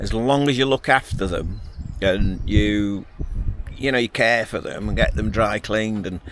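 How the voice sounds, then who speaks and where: With a Lancashire accent, a man of fairly low pitch speaks at a moderate pace with ordinary pitch variation over noticeable background noise. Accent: northern English (Lancashire). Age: 60s. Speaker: outdoor adventure vlogger. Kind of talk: casual vlog monologue. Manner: chatty, rambling with hesitations.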